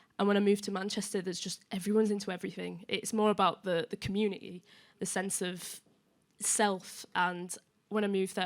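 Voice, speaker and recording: Speaking very fast in a Yorkshire accent, a woman keeps a medium pitch and a monotone, flat intonation. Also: very clean recording, silent background. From northern England, Leeds. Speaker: music journalist. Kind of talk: panel discussion.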